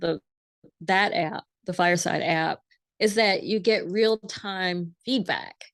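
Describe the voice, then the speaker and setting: A woman with an ordinary speaking voice talks at medium pitch with ordinary pitch variation, in a dry, close sound with no echo over a quiet background. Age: 50s. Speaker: editor and former journalist. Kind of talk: interview.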